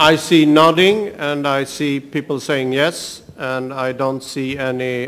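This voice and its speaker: A man speaks at a very slow pace with a medium pitch and fairly even intonation. Noticeable background noise runs underneath. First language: not English. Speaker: meeting chair. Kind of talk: chairing a formal meeting.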